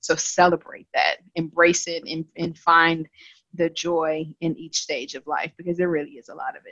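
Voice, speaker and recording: This woman has an unremarkable speaking voice, fairly low in pitch, with an American accent. She talks at a moderate pace, and the sound is dry and close with no echo. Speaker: regional sales business lead. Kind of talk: casual chat.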